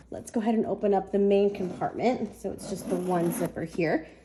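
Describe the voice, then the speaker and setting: Noticeable background noise runs under this clip. A woman speaks with a medium pitch. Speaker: luxury handbag unboxing creator. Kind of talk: casual talk to camera.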